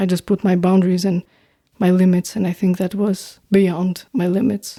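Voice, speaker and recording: Over a very clean recording with a silent background and a dry, close sound with no echo, a woman with an Albanian accent speaks at a medium pitch and moderate pace in a monotone, flat intonation with a dark, mellow tone. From North Macedonia, Albanian community. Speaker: singer-songwriter and producer. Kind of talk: podcast interview. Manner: halting.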